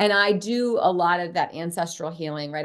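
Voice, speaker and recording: A woman with an American accent, a fairly low pitch and a plain, everyday voice speaks at a moderate pace with ordinary pitch variation over a quiet background. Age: 50s. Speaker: clinical psychologist and author. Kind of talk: interview.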